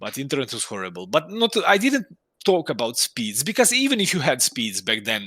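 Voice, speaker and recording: A man talks at a moderate pace in a Croatian accent, his pitch swinging very widely and his tone bright and sharp. The recording is very clean, with a silent background. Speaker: indie game developer. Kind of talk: casual interview chat. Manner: halting, many restarts.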